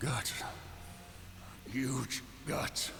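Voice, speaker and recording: Amid loud background noise, a man whispers in a put-on character voice. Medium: game stream. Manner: terse, fragmentary.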